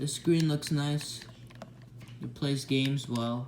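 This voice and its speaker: Noticeable background noise under fairly slow speech. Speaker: retro gaming reviewer. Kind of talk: casual product review talk.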